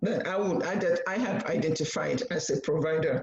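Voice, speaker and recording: A woman with a Nigerian accent speaks at a medium pitch. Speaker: nurse practitioner. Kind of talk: panel presentation. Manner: halting.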